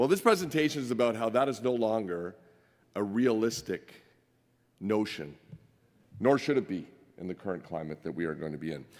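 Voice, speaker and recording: Loud and fairly quick, a man with a fairly low pitch swings his voice very widely and leaves long, frequent pauses. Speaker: mining industry executive. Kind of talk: conference presentation. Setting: stage with audience.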